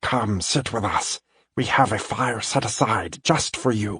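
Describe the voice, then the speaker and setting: Using a put-on character voice, a man speaks at a fairly slow pace and a medium pitch. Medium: read story. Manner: gentle, measured.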